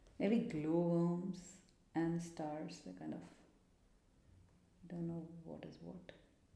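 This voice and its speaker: Mumbling at a very slow pace with long, frequent pauses, a woman with a fairly low pitch and dark, mellow tone keeps her intonation fairly even while her loudness swings widely amid audible room echo. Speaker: art video creator. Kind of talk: tutorial. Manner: casual, thinking aloud.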